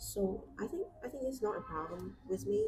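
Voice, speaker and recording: Clearly audible noise fills the background. Against it, a woman talks at a moderate speed. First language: Vietnamese. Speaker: artist YouTuber. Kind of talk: casual chat while drawing on a livestream. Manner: hesitant, with fillers and restarts.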